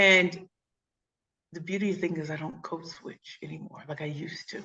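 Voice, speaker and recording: With an American accent, a woman speaks at a moderate pace in a fairly low voice with vocal fry and big swings in loudness. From St. Louis, Missouri (inner city). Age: 40s. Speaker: keynote speaker and pitch coach. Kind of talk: interview. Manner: animated.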